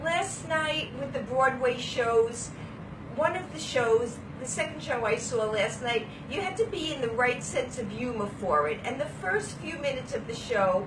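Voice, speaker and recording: A woman with a strong Brooklyn accent speaks at a high pitch, her voice swinging very widely. Audible room echo and noticeable background noise surround her. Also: moderate pace. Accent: Brooklyn accent, still strong. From Brooklyn, New York. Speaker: vlogger. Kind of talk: casual chat. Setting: hotel room. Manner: animated.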